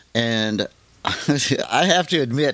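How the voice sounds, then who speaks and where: Pitched at a medium level with ordinary pitch variation, a man talks in an unremarkable speaking voice. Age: 60s. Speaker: podcast host and assistive technology trainer. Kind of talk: casual chat.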